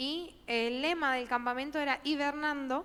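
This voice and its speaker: With fairly even intonation, a woman speaks in a high pitch. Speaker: youth leader. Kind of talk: church talk, conversational reflection.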